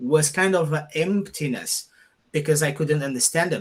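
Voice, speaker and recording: A man with a Portuguese accent and ordinary pitch variation. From Portugal. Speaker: podcast host. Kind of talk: conversational interview.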